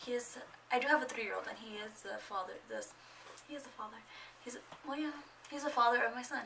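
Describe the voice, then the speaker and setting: Speech comes at a very fast pace with long, frequent pauses, ordinary pitch variation and big swings in loudness, over light background noise. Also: woman, high pitch for a woman. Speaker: lifestyle vlogger; vlogger. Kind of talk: casual vlog monologue. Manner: chatty, rambling with fillers. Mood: chatty, exasperated at times. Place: home room. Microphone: phone near.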